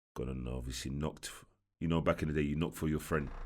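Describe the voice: A man speaks at a moderate pace with extremely low pitch, a slightly mellow tone and fairly even intonation. The recording is very clean, with a silent background.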